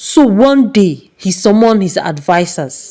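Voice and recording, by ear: At a slow pace, a woman speaks at medium pitch with big pitch swings and a dark, mellow tone.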